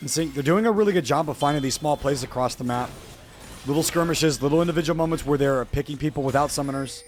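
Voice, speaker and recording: With music in the background, a man talks very fast at a fairly high pitch with ordinary pitch variation. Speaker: esports caster. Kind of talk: live commentary.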